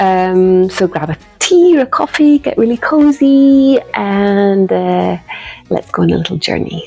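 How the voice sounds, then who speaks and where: With music in the background, a woman with a Scottish accent speaks at a fairly slow pace. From Scotland. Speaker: watercolour artist and knitting vlogger. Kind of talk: casual vlog chat.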